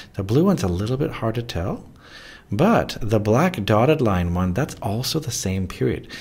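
The man sounds somewhat breathy. He moves at a fairly quick pace. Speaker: physics teacher. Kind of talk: tutorial.

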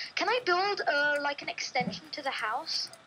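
A raised, projected voice with a playful tone makes very wide pitch swings over noticeable background noise. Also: woman. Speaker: gamer guest. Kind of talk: casual gameplay commentary. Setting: online voice call with headset. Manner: playful, giggly.

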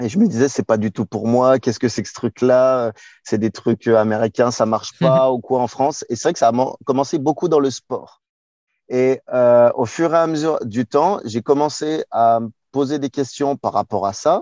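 A man with a dark, mellow tone speaks at a moderate pace with ordinary pitch variation. The background is quiet and the sound is dry with no echo. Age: 30s. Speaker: relationship coach. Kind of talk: interview. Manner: animated. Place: car.

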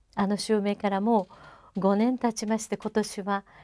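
A woman speaks in a dark, mellow tone. Behind her the background is quiet. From Japan. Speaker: singer. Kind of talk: interview monologue. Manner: formal; halting. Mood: warm, reflective, smiling. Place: studio.

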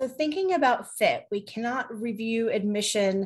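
Against a quiet background, a woman talks with lively intonation. Her voice is somewhat breathy. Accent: American. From New Jersey. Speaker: college admissions officer. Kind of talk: panel discussion. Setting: video call. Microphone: video call.

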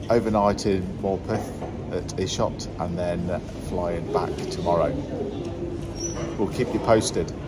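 There is loud background noise behind the recording. A man speaks at a fairly slow pace. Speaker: pilot vlogger. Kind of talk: casual vlog chat. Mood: cheerful, laughing. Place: station. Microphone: phone near.

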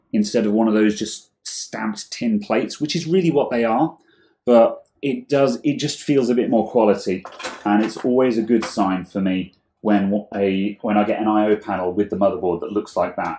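A man speaks at a moderate pace and a fairly low pitch, with ordinary pitch variation. Audible room echo and light background noise surround him. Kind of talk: tutorial. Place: workshop.

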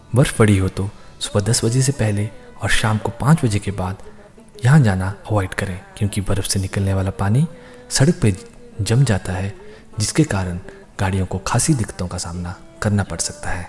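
Over faint background music, a man talks at a fairly slow pace in a fairly low voice, with ordinary pitch variation and long, frequent pauses. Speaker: travel narrator. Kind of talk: documentary narration.

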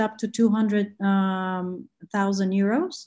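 A woman's dark, mellow tone, somewhat breathy. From Bulgaria. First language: Bulgarian. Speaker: venture capital investor. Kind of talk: interview. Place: home room. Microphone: video call.

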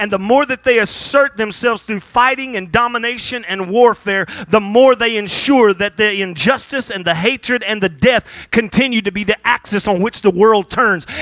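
Against a quiet background, a man talks in an animated tone at a high pitch, with ordinary pitch variation, a moderate pace and a dry sound with no echo. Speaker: pastor; preacher. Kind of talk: sermon. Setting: church. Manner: halting. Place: church. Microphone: handheld.

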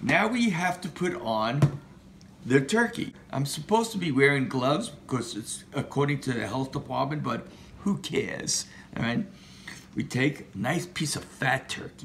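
Very wide pitch swings from a man at a moderate pace, with light background noise. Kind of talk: playful cooking tutorial. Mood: jokey, playful. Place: kitchen. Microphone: camera far.

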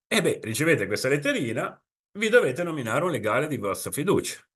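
In a Genoese accent, the speaker talks at a very fast pace with very wide pitch swings. The background is quiet. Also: man. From Italy, Genoa; Italy. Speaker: insurance consultant; presenter. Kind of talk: webinar presentation. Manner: conversational. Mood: informal, explanatory. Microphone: webcam.

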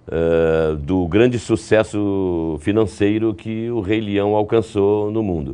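A man's fairly low, dark, mellow voice at a very slow pace. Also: ordinary pitch variation, hardly any pauses. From Brazil, Recife (Pernambuco); Pernambuco, Brazil. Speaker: voice actor and trailer announcer; voice actor, trailer announcer. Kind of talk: interview. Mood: reflective, calm. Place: studio. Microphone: lapel.

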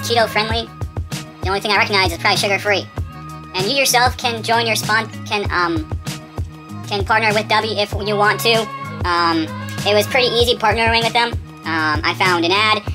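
A man's high, raised and projected voice with lively intonation at a fairly quick pace, clear music in the background. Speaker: vlogger. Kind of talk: casual talk to camera. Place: home room.

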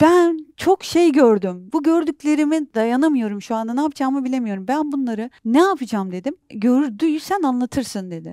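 With lively intonation and a high pitch, a woman speaks at a moderate pace in a dry recording with no echo and a quiet background. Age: 40s. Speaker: documentary filmmaker and journalist; interview guest. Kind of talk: interview. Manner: halting. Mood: emotional, recounting traumatic events. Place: studio. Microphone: lapel.

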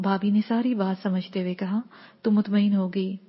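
The clip is plain reading aloud with fairly even intonation.

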